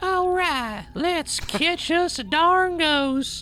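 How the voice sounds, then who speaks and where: A put-on character voice speaks at an extremely high pitch and a very slow pace. Clear background noise is present. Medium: read story.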